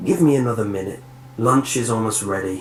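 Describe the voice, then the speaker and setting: The speaker uses a raspy, put-on character voice. The pace is fairly quick, with ordinary pitch variation. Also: man, medium pitch for a man. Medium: read story. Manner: bitter, mocking.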